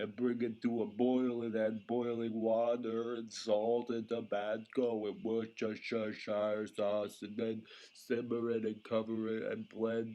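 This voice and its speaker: A man's put-on character voice, medium in pitch, with monotone, flat intonation, a fairly slow pace and hardly any pauses. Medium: audio drama. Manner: flat, casual.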